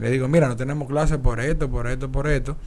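There is audible room echo as a man speaks. His pitch is medium and his pace fairly quick. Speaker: podcast co-host. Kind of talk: casual chat.

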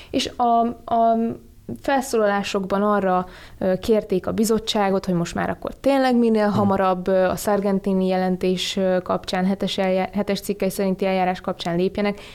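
A woman with a plain, everyday voice, medium in pitch, at a moderate pace, with fairly even intonation and very even loudness. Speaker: policy analyst. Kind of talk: radio discussion. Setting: studio.

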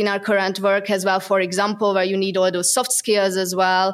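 Speaking at a fairly quick pace, a woman talks with a Hungarian accent. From Hungary. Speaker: SEO product manager. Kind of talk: interview. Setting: in person.

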